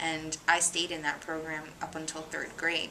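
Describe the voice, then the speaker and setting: Speech comes fairly slowly while noticeable noise sits in the background. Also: woman. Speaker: interviewee in documentary. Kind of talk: personal testimony interview. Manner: hesitant, many fillers.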